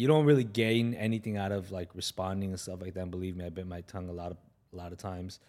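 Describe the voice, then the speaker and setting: The recording is very clean and the background silent. A man talks in a very deep, low register, his pitch varying in an ordinary way. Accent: American. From Los Angeles, San Fernando Valley. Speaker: retired pro soccer player and coach. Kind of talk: casual chat.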